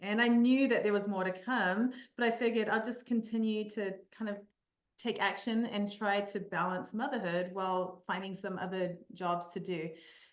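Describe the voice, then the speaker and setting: Speaking with a New Zealand accent, a woman at medium pitch keeps a moderate pace and fairly even intonation, with audible room echo around her. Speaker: mental performance coach. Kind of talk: podcast interview. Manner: hesitant, many fillers.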